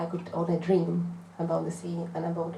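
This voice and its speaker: A woman with a fairly low pitch talks at a moderate pace, with noticeable background noise and audible room echo. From Czech Republic. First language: Czech. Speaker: visual artist. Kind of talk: panel talk at a book event. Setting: bookshop event with audience. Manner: halting, many hesitations.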